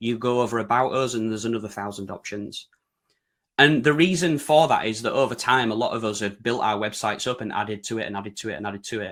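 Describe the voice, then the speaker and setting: A man with a British accent, medium in pitch with ordinary pitch variation, at a very fast pace. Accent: broad UK. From Yorkshire, northern England. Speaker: website design consultant presenting. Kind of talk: webinar presentation. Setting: online webinar.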